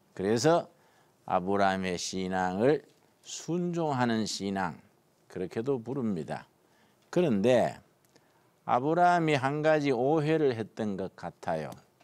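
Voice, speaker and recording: Against a quiet background, a man at a very slow pace with long, frequent pauses and very wide pitch swings. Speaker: pastor teaching Bible class. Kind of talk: lecture. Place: studio.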